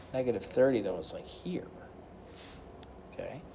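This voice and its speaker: A man at medium pitch, with ordinary pitch movement, speaks in a room with audible echo. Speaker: math teacher. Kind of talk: recorded math lesson tutorial.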